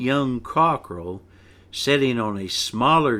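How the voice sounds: Lively intonation marks this natural reading voice.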